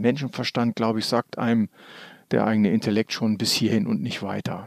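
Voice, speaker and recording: The recording of this man is very clean, and the background is silent. His sound is dry and close, without any echo. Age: old. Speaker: trainer and coach. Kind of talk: casual chat. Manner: animated.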